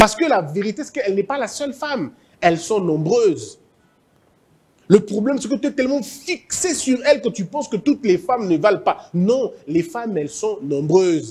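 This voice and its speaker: A man with an Équateur accent talks at a moderate pace in an animated tone, his high pitch marked by very wide pitch swings. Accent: Équateur Lingala. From DR Congo, Équateur province. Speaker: motivational speaker. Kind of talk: motivational talk. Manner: animated, repetitive.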